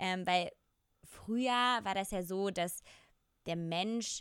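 A woman speaks at a very slow pace in a medium pitch with ordinary pitch variation, on a very clean recording with a silent background. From Germany, small village. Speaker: podcast co-host. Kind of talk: casual chat.

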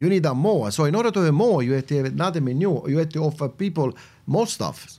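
On a very clean recording with a silent background, a man with an Italian accent talks at a moderate pace, with a fairly high pitch and lively intonation. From Italy, Campania (Salerno province village). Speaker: restaurant owner and farmer. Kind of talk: casual chat. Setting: studio.

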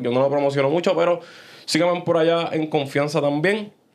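This man has a fairly high pitch and ordinary pitch variation. He speaks at a moderate pace. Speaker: podcast host. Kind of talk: casual chat. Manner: animated.

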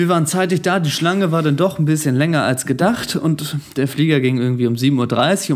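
A man's ordinary speaking voice, fairly high in pitch, with ordinary pitch variation at a fairly quick pace. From Germany. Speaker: podcast host. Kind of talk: casual chat.

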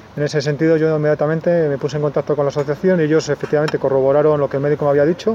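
Noticeable background noise sits behind a man speaking at a very fast pace. His pitch is fairly high, and his intonation is fairly even. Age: 30s. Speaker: patient with multiple sclerosis. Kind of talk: personal testimony interview.

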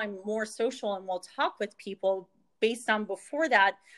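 In an unremarkable speaking voice with an American accent, a woman speaks at a moderate pace and a fairly high pitch with fairly even intonation, the sound dry and close with no echo. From Northeast Pennsylvania. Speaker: pharmacist and direct sales leader. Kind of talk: casual interview chat.

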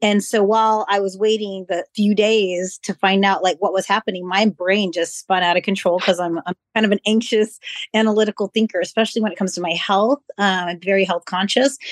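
A woman talks with a plain, everyday voice at a medium pitch. Her pace is fairly quick and her intonation fairly even. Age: 40s. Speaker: occupational therapy practitioner. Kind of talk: personal testimony in panel discussion.

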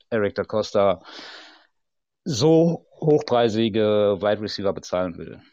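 Speaking very slowly at a medium pitch, a man has a dark, mellow tone, heard dry and close with no echo against a quiet background. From Ruhr area, Germany. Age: 30s. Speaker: football fan guest. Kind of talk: casual chat.

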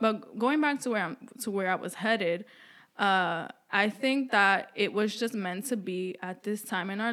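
Woman with a New York accent, medium pitch and ordinary pitch variation at a moderate pace, in a very clean recording, silent background. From New York City. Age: 20s. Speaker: podcast co-host. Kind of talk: casual chat.

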